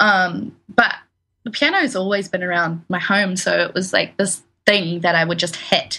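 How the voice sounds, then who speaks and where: Bright and sharp in tone, a woman with a New Zealand accent speaks at a moderate pace and medium pitch, with ordinary pitch variation. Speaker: musician, songwriter. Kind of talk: interview.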